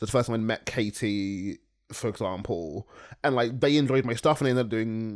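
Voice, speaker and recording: The recording is very clean, with a silent background. A man speaks at a fairly quick pace and medium pitch, with ordinary pitch variation. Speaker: spoken word poet and podcast host. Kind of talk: casual chat. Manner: fast.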